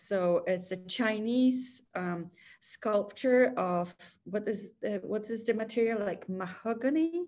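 With a Polish accent, a woman speaks very slowly with ordinary pitch variation. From Poland. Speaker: artist; guest. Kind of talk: interview conversation. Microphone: video call.

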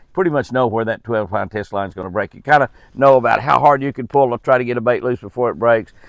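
A man with a medium pitch talks at a fairly quick pace with ordinary pitch variation, the sound dry and close with no echo.

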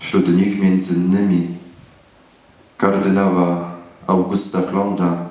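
A man at a very slow pace and fairly low pitch, with audible room echo. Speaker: priest. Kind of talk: sermon. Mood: solemn patriotic. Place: church. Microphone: camera far.

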